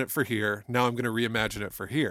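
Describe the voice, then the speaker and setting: The man's tone is bright and sharp. His pace is moderate. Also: very clean recording, silent background. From Toledo, Ohio, US Midwest. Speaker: music professor and podcast host. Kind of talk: casual chat about music.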